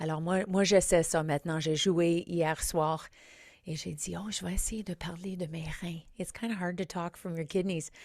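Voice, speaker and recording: With an English accent, a woman speaks at a fairly slow pace with a fairly low pitch, fairly even intonation and big swings in loudness, on a very clean recording with a silent background. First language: English (speaking French). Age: 50s. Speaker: comedian and podcast host. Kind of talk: podcast intro monologue. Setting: studio. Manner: halting, code-switching with English fillers.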